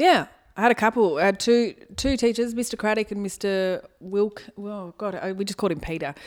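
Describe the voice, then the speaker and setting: With an Australian accent, a woman speaks fairly quickly at medium pitch with ordinary pitch variation and big swings in loudness, on a very clean recording with a silent background. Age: 30s. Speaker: comedian and former teacher. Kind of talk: casual chat.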